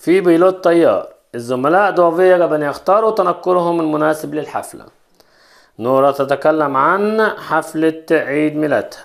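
Speaking with an Egyptian accent, a man uses a high pitch and ordinary pitch variation at a fairly slow pace. The background is quiet. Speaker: French teacher. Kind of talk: lesson. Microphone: phone near.

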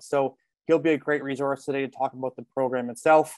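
Against a quiet background, a man talks at a fairly quick pace, the sound dry with no echo. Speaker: program partner host. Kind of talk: webinar welcome address. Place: home room. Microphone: video call.

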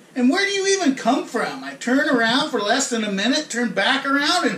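A man at a moderate pace, with audible room echo. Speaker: comic actor playing frat bro. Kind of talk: comedic rant monologue. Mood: mock outrage. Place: kitchen. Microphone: camera far.

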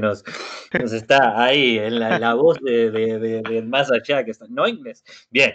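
In a Rioplatense accent, a man speaks with fairly even intonation against a quiet background. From Uruguay. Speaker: native-speaker language facilitator; speaker. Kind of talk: online language class. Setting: video call. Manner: halting. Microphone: video call.

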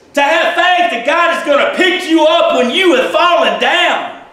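A man with an extremely high pitch and an animated tone, talking at a fairly slow pace amid audible room echo. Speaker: preacher. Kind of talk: sermon. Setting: church. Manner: animated, fervent preaching with call-and-response; informal, conversational. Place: church. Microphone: camera far.

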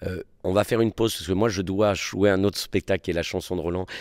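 A man speaks with fairly even intonation. The sound is dry with no echo, and the background is quiet. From Réunion. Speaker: theatre director and actor; actor. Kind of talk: interview. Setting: theatre. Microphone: handheld.

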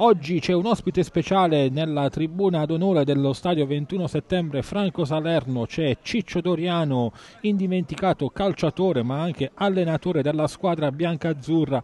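A man speaks in a plain, everyday voice at a fairly high pitch. His pitch varies in an ordinary way, and his pace is moderate. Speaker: football commentator. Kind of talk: live sports commentary. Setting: stadium.

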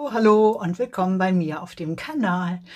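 The speaker is a woman. Her intonation rises and falls in an ordinary way. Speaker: beauty vlogger. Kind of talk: casual vlog chat. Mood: cheerful, chatty. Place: home room. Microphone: phone near.

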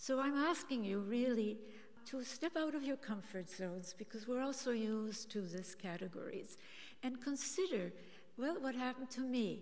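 At a moderate pace, a woman speaks with a high pitch and lively intonation. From Austria, Vienna. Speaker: author and systems scientist; speaker. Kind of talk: speech. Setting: stage with audience. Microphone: podium.

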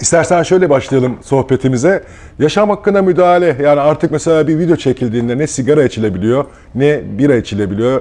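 A man with a fairly high pitch and a dark, mellow tone speaks very fast, his loudness very even and his intonation lively. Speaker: local TV interviewer. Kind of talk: casual chat. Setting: café or bar. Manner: hesitant, many filler sounds. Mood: relaxed, friendly. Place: cafe.

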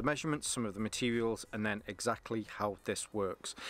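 At a very fast pace, a man is talking. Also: dry sound with no echo. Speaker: gear reviewer. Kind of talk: product review vlog. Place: garden.

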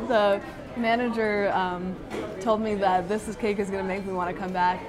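Crowd noise fills the background. The speaker's intonation stays fairly even. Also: woman. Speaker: food reviewer. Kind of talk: casual vlog chat. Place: cafe. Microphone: phone near.

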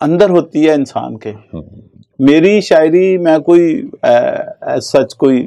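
A man at a very slow pace, against a quiet background. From Pakistani Punjab, village near Sahiwal; Punjab, Pakistan. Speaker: poet and pastor; poet, pastor. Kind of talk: interview. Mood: calm, reflective about poetry. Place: studio. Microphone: lapel.

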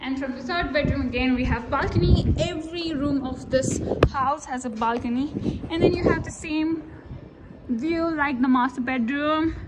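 Loud background noise surrounds a woman's voice. She speaks at a moderate pace with ordinary pitch variation. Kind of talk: casual vlog chat. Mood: excited, enthusiastic. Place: empty room. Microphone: phone near.

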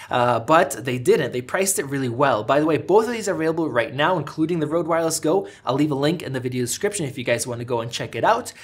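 Breathing somewhat audibly, a man races along at a very fast pace with lively intonation and hardly any pauses. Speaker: tech reviewer. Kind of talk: product review. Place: studio.

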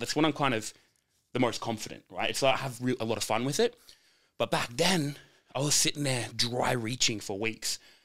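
Against a quiet background, a man with an Australian accent talks at a fairly quick pace with ordinary pitch variation. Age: 20s. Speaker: powerlifter and gym owner; podcast guest. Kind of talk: casual chat. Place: studio. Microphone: studio mic.

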